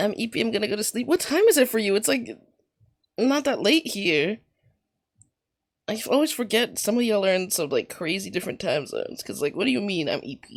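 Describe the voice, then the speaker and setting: Long, frequent pauses break up a woman's fairly quick speech, which carries vocal fry and very wide pitch swings. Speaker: streamer. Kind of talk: live gameplay commentary. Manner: casual, chatty.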